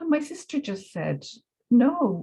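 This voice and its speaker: Speaking at a fairly slow pace with a Dublin accent, the woman's voice carries vocal fry. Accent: Dublin Irish. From Ireland, Dublin. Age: 60s. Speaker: educator. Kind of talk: interview. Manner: hesitant, many fillers.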